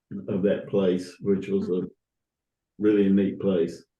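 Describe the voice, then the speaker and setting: The speech comes in a Southern US accent at a very slow pace. Its intonation is monotone and flat. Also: man. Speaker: church founding member. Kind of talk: interview. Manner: halting.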